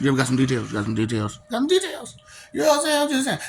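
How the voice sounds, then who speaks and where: Music sits in the background. Over it, a man talks. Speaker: vlogger. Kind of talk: casual monologue.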